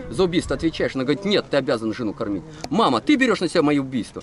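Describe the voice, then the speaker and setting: A man talks at a very fast pace, the sound dry with no echo and light background noise behind him. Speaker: tour guide storyteller. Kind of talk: storytelling talk to a group. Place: open country. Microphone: phone near.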